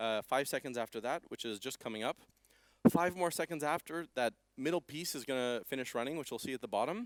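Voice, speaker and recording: A man with a Canadian accent talks fairly quickly at medium pitch. His pitch varies in an ordinary way, and the sound is dry and close with no echo. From Canada. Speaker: software developer presenting at conference. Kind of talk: conference talk with live demo. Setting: stage with audience. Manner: fast; animated.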